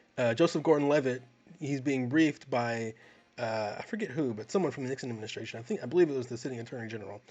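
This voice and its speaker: A very fast pace in an American accent, with big swings in loudness. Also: man, medium pitch for a man, ordinary pitch variation. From US South. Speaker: film review podcast co-host. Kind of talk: casual chat. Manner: halting, many repeated words.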